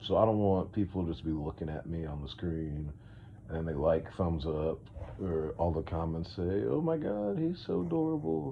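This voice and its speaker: A man talks at a moderate pace in a very deep, low pitch. Audible room echo surrounds his voice. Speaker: podcast host. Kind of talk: casual monologue. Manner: rambling, hesitant with fillers.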